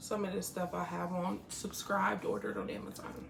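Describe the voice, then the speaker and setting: Audible room echo, a moderate pace and noticeable background noise. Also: woman. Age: 30s. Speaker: makeup artist. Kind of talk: casual chat.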